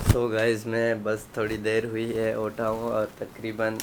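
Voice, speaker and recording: Medium-pitched male voice amid noticeable background noise. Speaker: vlogger. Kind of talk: casual vlog.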